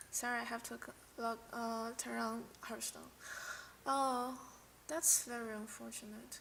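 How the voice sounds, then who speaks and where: Speaking with a non-native accent, a woman goes at a fairly slow pace with long, frequent pauses. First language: not English. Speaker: streamer, card game player. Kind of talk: casual live stream commentary. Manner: halting, with many restarts and fillers.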